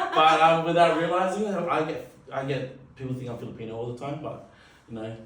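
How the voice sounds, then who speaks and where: In an Australian accent, a man with a fairly high pitch and ordinary pitch variation speaks at a fairly quick pace, his loudness swinging widely, amid noticeable background noise and audible room echo. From Western Sydney, Australia. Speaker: wedding MC. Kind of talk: casual chat. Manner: halting, many fillers.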